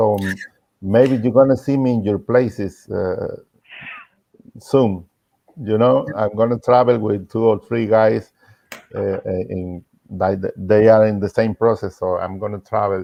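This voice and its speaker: A man with a Spanish accent speaks at a fairly slow pace and fairly low pitch, with fairly even intonation and long, frequent pauses. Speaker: tuna musician. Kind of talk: farewell remarks in video chat. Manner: halting.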